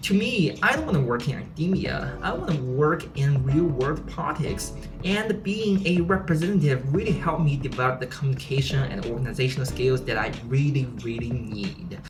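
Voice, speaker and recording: A woman with a non-native accent and a very deep, low pitch, talking at a fairly quick pace with lively intonation and hardly any pauses, audible room echo and music in the background. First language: not English. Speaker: PhD student vlogger. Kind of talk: vlog monologue.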